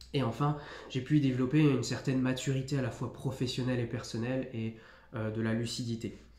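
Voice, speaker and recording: Speaking at a fairly quick pace, a man with a medium pitch and a dark, mellow tone sounds somewhat breathy, his intonation monotone and flat, with audible room echo in the recording. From northeastern France, near Nancy. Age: 20s. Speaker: youtuber, firefighter candidate. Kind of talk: mock oral exam presentation; tutorial. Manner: hesitant, many fillers.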